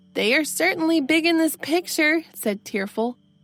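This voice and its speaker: Over music in the background, a woman speaks in a calm, soothing tone at a fairly slow pace. Her pitch swings very widely. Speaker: audiobook narrator. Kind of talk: bedtime story reading.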